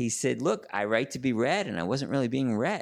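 A man speaks with a New York accent. The recording is very clean, with a silent background. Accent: New York area American. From New York suburbs (Larchmont). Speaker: sports editor and journalist. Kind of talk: casual interview conversation.

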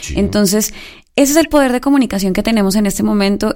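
A woman speaks at a very fast pace. Her voice sits at a medium pitch, with a dark, mellow tone. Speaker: announcer and singer. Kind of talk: live radio panel chat. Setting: radio studio.

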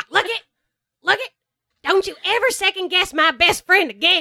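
A put-on character voice, extremely high in pitch, delivered at a moderate pace. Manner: cocky, loud.

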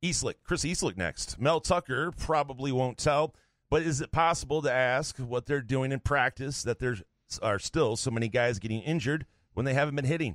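Using a normal speaking voice, a man talks at a fairly quick pace with a medium pitch. His ordinary pitch variation comes through with a dry, close sound and no echo. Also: very clean recording, silent background. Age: 40s. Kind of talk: casual chat.

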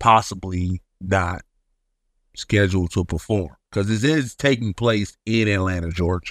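The recording is very clean with a silent background and a dry, close sound with no echo, as a man speaks at a fairly slow pace with ordinary pitch variation. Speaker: radio host. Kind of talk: radio DJ patter, casual podcast monologue.

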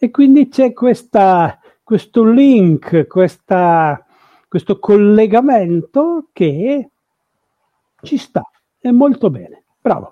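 A man speaks at a very slow pace, leaving long, frequent pauses. His pitch is high and swings very widely. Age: 60s. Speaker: paleontologist and Tolkien scholar. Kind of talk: lecture.

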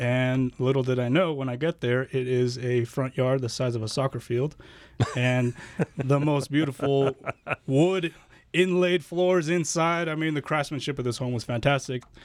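A man talks at a moderate pace in a normal speaking voice. It sits at a medium pitch with ordinary pitch variation. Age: 30s. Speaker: guest panelist. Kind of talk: casual chat. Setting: studio.

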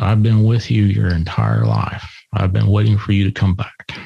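Putting on a character voice, a man talks at a moderate pace and a fairly low pitch.

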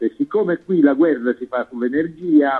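Speaking in an ordinary speaking voice, a man has a fairly high pitch and ordinary pitch variation. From southern Italy. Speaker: co-host, political commentator. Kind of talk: casual chat.

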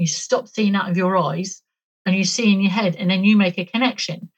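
Speaking in a British accent, a woman uses a medium pitch with ordinary pitch variation. Her somewhat breathy voice moves at a fairly quick pace. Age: 50s. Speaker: author and alien abduction experiencer. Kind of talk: interview testimony.

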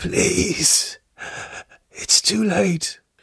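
A raspy put-on character voice at a middle pitch comes out at a very slow pace. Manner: desperate, pleading.

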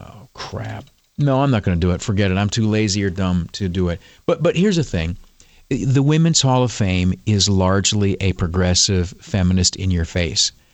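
Delivered in a normal speaking voice, the speech moves at a moderate pace with lively intonation over a quiet background. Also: man, fairly low pitch for a man. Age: 50s. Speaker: talk radio host. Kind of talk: talk radio monologue.

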